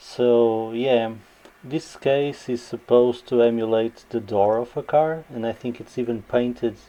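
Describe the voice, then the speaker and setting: A man with a Portuguese accent, medium pitch and a dark, mellow tone, speaking at a fairly slow pace with monotone, flat intonation. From Portugal. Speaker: gaming YouTuber. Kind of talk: unboxing video. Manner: hesitant, with fillers.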